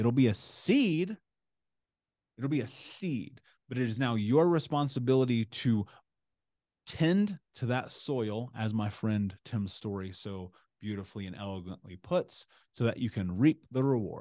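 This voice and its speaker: A man with a Midwestern American accent speaks at a fairly slow pace. His tone is dark and mellow, with lively intonation. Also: medium pitch for a man. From US Midwest (Indianapolis, Indiana). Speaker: author, coach and motivational speaker. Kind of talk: interview conversation.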